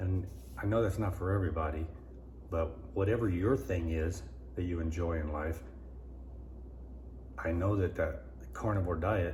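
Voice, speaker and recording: Recorded with audible room echo, a man with a very deep, low pitch and a dark, mellow tone speaks at a moderate pace with ordinary pitch variation and vocal fry. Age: 60s. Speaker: vlogger. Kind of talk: casual vlog monologue. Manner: halting, repetitive.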